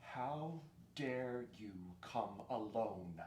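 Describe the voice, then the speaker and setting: Against clear background noise, a put-on character voice speaks at a low pitch. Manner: menacing, terrible, angry.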